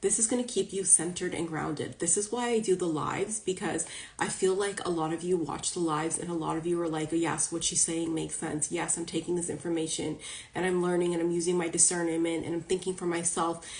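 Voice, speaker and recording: A woman with a fairly low pitch, very fast pace and fairly even intonation, over noticeable background noise. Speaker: spiritual coach and psychic reader. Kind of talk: live stream talk to followers. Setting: social media live video. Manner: casual, chatty.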